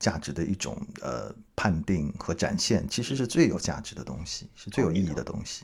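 A voice with vocal fry, speaking at a moderate pace. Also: man. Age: middle-aged. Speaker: podcast host. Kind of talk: casual interview.

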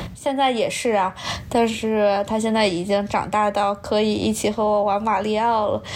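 At a moderate pace, a woman speaks with a fairly high pitch, monotone, flat intonation and very even loudness. Noticeable background noise is present. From Nanjing, China. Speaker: high school language teacher. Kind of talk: casual chat.

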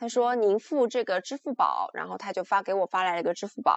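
A woman's voice with lively intonation. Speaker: podcast co-host. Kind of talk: casual chat. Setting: video call. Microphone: slightly muffled audio.

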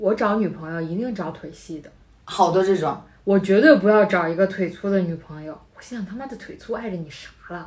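Speaking at a fairly quick pace, a woman of medium pitch has an unremarkable speaking voice. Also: ordinary pitch variation, big swings in loudness. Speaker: podcast co-host. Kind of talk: casual chat.

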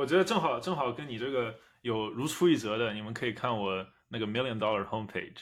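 A man talks at a very fast clip with ordinary pitch variation. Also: medium pitch for a man. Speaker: product manager, friend of hosts. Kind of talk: casual chat.

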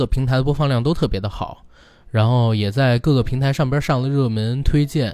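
Here a man has a normal speaking voice, medium in pitch and moderate in pace. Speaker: podcast host. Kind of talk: casual chat.

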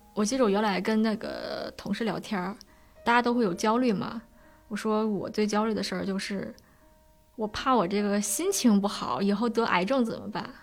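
Music plays in the background. A woman with a fairly high pitch speaks at a moderate pace. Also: fairly even intonation. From Beijing suburbs. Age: 20s. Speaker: storyteller with depression. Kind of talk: personal testimony.

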